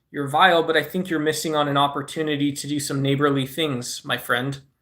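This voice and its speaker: Moderate pace with a Southwestern US accent. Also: man. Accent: Southwest US. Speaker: live streamer. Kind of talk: casual live-stream chat. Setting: live stream. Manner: animated.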